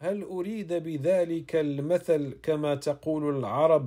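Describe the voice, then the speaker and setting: In a very clean recording with a silent background, a man with a fairly high, dark and mellow voice talks at a very slow pace with ordinary pitch variation. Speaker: reader of classical Islamic texts. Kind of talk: reading aloud. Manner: formal.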